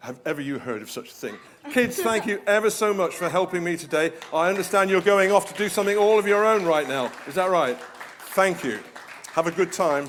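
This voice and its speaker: Crowd noise fills the background as a man with a British accent speaks quickly at a high pitch with ordinary pitch variation. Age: 70s. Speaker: guest preacher. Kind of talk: sermon. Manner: animated.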